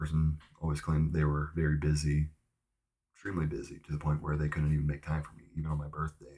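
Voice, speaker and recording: Soft-spoken and somewhat breathy, a man talks at a very fast pace in a very deep, low pitch with a dark, mellow tone, monotone, flat intonation and big swings in loudness. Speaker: vlogger. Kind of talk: casual monologue. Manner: hesitant, many fillers.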